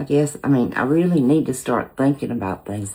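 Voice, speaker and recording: In a Southern US accent, a woman speaks with a very deep, low pitch and ordinary pitch variation on a very clean recording with a silent background. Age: 60s. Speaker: cooking channel host. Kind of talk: casual chat. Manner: hesitant, many filler words.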